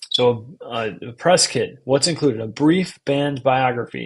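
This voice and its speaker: Somewhat breathy and medium-pitched, a man speaks with an American accent. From US Midwest, Chicago-Milwaukee area. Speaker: podcast host. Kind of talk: instructional talk summarizing a book. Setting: live stream. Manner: slow and enunciating.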